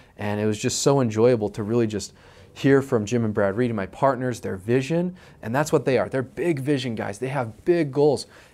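At a fairly quick pace, a man speaks with a medium pitch, ordinary pitch variation, and a dark, mellow tone. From Utah, US. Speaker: real estate investor. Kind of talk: personal story to camera. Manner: casual, repeats words. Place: office. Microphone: lapel.

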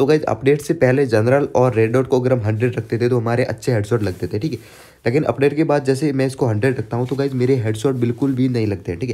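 Very fast delivery in a dark, mellow tone, fairly even intonation and hardly any pauses. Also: man, medium pitch for a man. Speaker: gaming YouTuber. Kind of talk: gameplay tutorial. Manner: casual, chatty.

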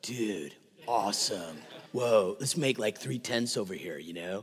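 A man puts on a character voice. It sits fairly low and moves at a fairly slow pace. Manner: excited, casual, awestruck.

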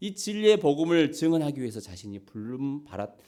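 A man with a fairly high pitch and a dark, mellow tone speaks at a moderate pace. His pitch swings very widely. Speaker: pastor. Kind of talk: sermon. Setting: church.

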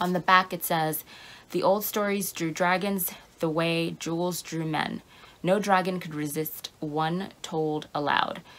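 At a fairly slow pace, a woman talks with a fairly low pitch and ordinary pitch variation. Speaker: book vlogger. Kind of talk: casual vlog chat. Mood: enthusiastic, playful. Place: home room. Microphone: phone near.

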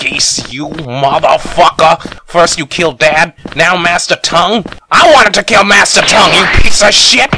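This man uses a cartoonish character voice with a high pitch. His pace is moderate.

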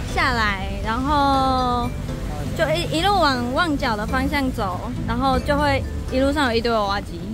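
A woman talks at a fairly slow pace with long, frequent pauses, the sound dry with no echo and music playing in the background. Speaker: vlogger visiting claw machine shops. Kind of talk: casual vlog chat. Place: street. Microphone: phone near.

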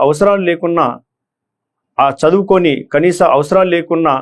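Speaking with a Telangana accent, a man has a fairly high voice and ordinary pitch variation. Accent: Telangana Telugu. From Telangana, Nizamabad district (Armoor). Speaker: retired police officer turned election candidate. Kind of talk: motivational address to exam candidates. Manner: halting.

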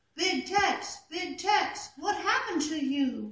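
This cartoonish character voice is pitched high and moves at a fairly slow pace. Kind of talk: poetry reading. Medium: puppet.

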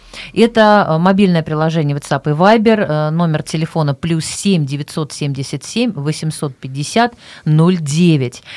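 The background is quiet. A woman speaks fairly low in pitch, with ordinary pitch variation. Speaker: radio host. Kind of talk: radio show hosting. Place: studio. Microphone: studio mic.

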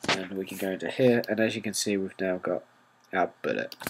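A man speaks with a British accent. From Britain. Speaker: software tutorial maker. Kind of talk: tutorial.

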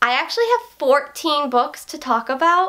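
Projecting her voice with a bright, sharp, upbeat tone, a woman swings widely in pitch at a moderate pace against a quiet background. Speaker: book reviewer. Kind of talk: casual talk to camera. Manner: upbeat, chatty. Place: home room.

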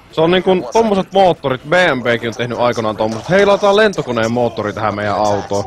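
Noticeable background noise sits under a man talking fairly quickly with very wide pitch swings. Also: medium pitch for a man. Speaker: gaming streamer. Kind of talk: casual chat. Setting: live stream. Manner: animated.

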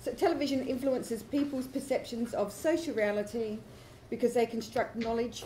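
Over light background noise, a woman speaks at a fairly quick pace. Her voice is high-pitched. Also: ordinary pitch variation. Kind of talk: conference presentation. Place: hall. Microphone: camera far.

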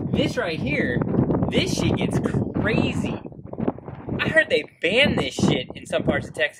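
A man talking at a moderate pace over loud background noise. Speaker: vlogger. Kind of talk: sarcastic comedic vlog monologue. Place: street. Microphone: camera far.

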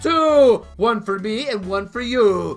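Music plays faintly behind the voice. The speaker is a man. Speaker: let's play commentator. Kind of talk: gaming commentary, video outro.

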